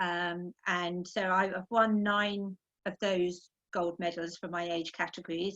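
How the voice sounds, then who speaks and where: A woman of medium pitch with an English accent, her voice dry and close with no echo, over a quiet background. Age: 60s. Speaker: masters indoor rower. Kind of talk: interview. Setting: video call.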